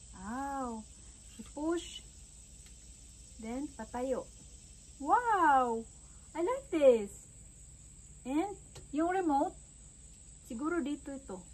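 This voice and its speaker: A woman talks at a very slow pace with long, frequent pauses. Her pitch is high and her intonation lively. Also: big swings in loudness. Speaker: vlogger. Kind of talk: casual vlog unboxing. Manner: animated. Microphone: weak built-in audio, new mic untested.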